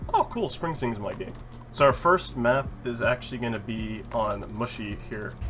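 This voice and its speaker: Background music accompanies the recording. Over it, a man speaks at a moderate pace. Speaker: gaming YouTuber. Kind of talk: gameplay commentary. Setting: home recording. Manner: casual, many fillers.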